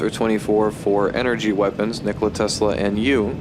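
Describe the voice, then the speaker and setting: A medium-pitched man at a moderate pace, with noticeable background noise. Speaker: gaming youtuber. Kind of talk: video game commentary. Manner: slurred words; casual, filler-heavy.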